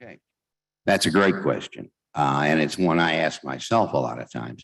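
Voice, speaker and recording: A man's very deep, low voice with vocal fry, lively intonation, big swings in loudness and a moderate pace over a quiet background. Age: 70s. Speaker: talking book narrator. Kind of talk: convention speech with Q&A. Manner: halting, many fillers.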